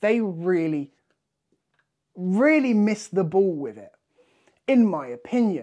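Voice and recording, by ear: A man's slightly mellow voice, slow in pace, with big pitch swings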